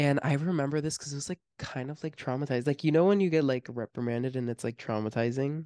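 An American accent comes through at a very fast pace with hardly any pauses. The background is quiet. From Miami, US. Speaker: podcast host. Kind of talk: casual chat.

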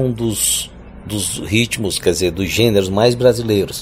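Fairly slow speech from a man with ordinary pitch variation, over noticeable background noise. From Piauí, Brazil (Northeast). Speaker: singer-songwriter and university professor. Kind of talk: interview. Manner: halting, repeats words.

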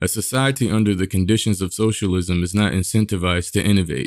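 On a very clean recording with a silent background, a man with an American accent talks at a fairly quick pace in a plain, everyday voice, pitched fairly low. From US, inner-city public housing. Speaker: podcast host. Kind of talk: monologue commentary.

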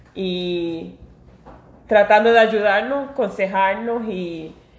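Audible room echo surrounds a woman's voice. Her pitch shows ordinary variation. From New York. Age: 40s. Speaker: podcast co-host, pastry cook. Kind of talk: casual chat. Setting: at home.

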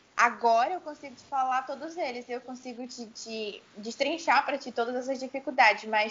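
A woman's high voice holds fairly even intonation as she talks at a moderate pace. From Amazonas, Brazil (Itacoatiara). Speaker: singer-songwriter and music teacher. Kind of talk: interview.

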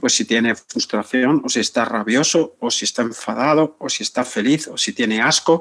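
At a moderate pace and with hardly any pauses, a man speaks in a medium pitch with a normal speaking voice. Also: ordinary pitch variation. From Spain, Barcelona outskirts. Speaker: psychotherapist. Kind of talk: interview.

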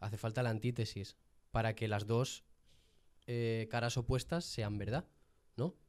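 Pausing long and often, a man with a medium pitch speaks at a fairly slow pace with fairly even intonation. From Jaén, Andalusia, Spain. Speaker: podcast guest. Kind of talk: casual chat. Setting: studio.

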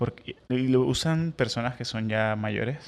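At a moderate pace, a man of medium pitch speaks in an unremarkable speaking voice. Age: 30s. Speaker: podcast co-host. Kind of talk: casual chat; sermon.

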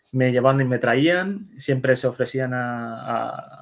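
This man has a normal speaking voice at medium pitch, with ordinary pitch variation. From Netherlands, Spanish immigrant family. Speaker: web developer and security specialist. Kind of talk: interview. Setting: at home, son nearby.

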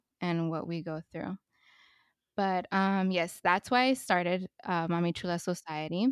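At a fairly slow pace, a woman speaks with a plain, everyday voice. Her pitch is fairly low, with ordinary pitch variation. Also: dry, close sound with no echo, very clean recording, silent background. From US West Coast, Los Angeles. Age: 30s. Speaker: podcast host, mother. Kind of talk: casual chat.

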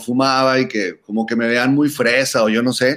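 Here a man with a Mexican accent speaks at medium pitch and a moderate pace. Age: 40s. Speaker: musician and cannabis podcaster. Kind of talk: casual chat.

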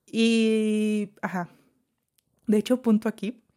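The recording is very clean and the background silent. A woman talks at a very slow pace. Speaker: podcast host. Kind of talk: casual chat. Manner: soft-spoken most of the time.

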